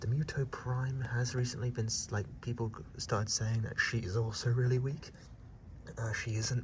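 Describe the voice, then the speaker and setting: There is noticeable background noise behind a man's voice. His pitch is medium and his pace moderate. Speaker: YouTuber. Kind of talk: monster ranking vlog. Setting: outdoors at night. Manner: whispering; casual, halting.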